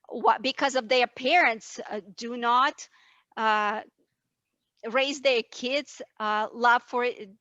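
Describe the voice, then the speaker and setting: A woman with a high pitch and a bright, sharp tone speaks at a very slow pace, with long, frequent pauses. The sound is dry and close, with no echo. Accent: non-native. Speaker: panelist. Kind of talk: heated debate. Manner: animated.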